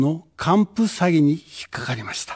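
A man speaking against a quiet background. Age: 70s. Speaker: political candidate; candidate. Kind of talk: campaign speech. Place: studio. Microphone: podium.

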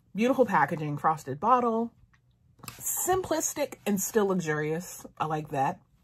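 Somewhat breathy, a woman speaks at a fairly slow pace while her pitch swings very widely. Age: 30s. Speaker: beauty YouTuber. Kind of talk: product review monologue. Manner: animated. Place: home room. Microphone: phone near.

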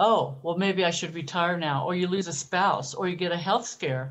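A woman's fairly low voice, a normal speaking voice, with ordinary pitch variation at a moderate pace. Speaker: early retiree and travel blogger. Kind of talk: casual interview.

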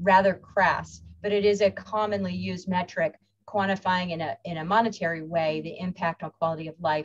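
At a fairly quick pace, a woman talks with a fairly low pitch and fairly even intonation. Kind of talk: lecture. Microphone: webcam.

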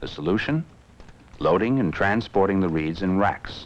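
With vocal fry and very wide pitch swings, a man talks at a moderate pace in a fairly low pitch. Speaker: film narrator. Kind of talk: 1960s industrial film narration. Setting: archive film soundtrack. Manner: formal, measured, authoritative; steady, even-paced, dry.

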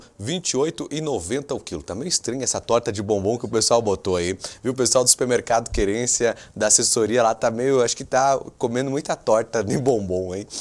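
A plain, everyday voice of a man at medium pitch and moderate pace, with lively intonation. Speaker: TV presenter. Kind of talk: pitchman reading out supermarket promotions on a local TV show. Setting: TV studio with a colleague present.

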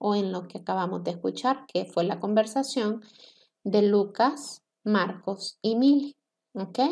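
Against a quiet background, a woman speaks with a fairly high pitch. Her pitch variation is ordinary. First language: Spanish. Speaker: English teacher. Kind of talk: lecture. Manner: slow. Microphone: webcam.

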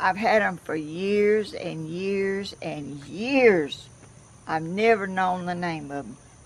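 Lively intonation marks this woman's speech in a Southern US accent. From US South, Georgia. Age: 80s+. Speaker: craft video maker. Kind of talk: casual chat. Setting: outdoors. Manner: animated; laughs often. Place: garden. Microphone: phone near.

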